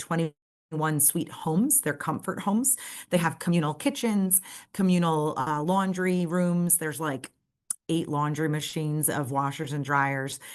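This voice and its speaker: A woman with an American accent speaks at a fairly slow pace, her pitch fairly low with ordinary variation. The background is quiet. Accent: New York accent, tamed when presenting. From New York City, Brooklyn. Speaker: nonprofit representative. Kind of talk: presentation. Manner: hesitant, many fillers.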